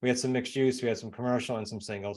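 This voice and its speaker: With a New England accent, a man speaks at medium pitch in a very clean recording with a silent background. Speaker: real estate investor and coach. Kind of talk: interview. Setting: podcast.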